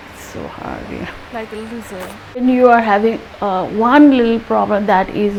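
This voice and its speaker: A woman speaks with fairly even intonation. Noticeable background noise runs under her voice. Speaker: dentist sharing health tips. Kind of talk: health vlog talk.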